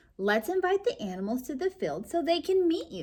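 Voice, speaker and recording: A woman's squeaky, high-pitched put-on character voice, fairly quick, with very wide pitch swings. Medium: read story. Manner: gentle, patient.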